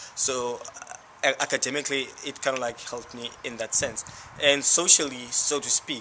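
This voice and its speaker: Over noticeable background noise, a man with a South African accent speaks at medium pitch and a moderate pace, his intonation monotone and flat and his loudness swinging widely. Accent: South African Xhosa-accented English. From South Africa, Cape Town township. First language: Xhosa. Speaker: university student. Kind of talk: interview. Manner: halting.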